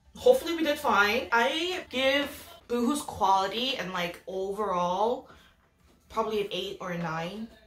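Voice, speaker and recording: A woman's fairly high voice with very wide pitch swings and big swings in loudness, at a fairly slow pace, with audible room echo. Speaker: vlogger. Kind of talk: casual chat. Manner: raised voice. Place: home room. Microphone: camera far.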